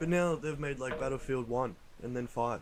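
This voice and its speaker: A man speaks at a moderate pace in an Australian accent. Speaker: podcast co-host. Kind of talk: casual chat. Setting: outdoors on a deck at night.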